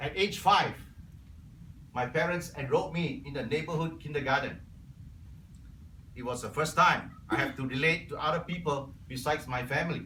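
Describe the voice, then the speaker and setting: Amid audible room echo, a man with a Cantonese accent speaks at a moderate pace and fairly high pitch, with ordinary pitch variation and long, frequent pauses. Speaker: Toastmasters club member. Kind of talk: prepared speech.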